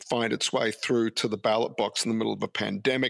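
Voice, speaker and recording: A man with an Australian accent speaks with vocal fry, the sound dry and close with no echo. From Brisbane, Australia. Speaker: professor. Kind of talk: interview.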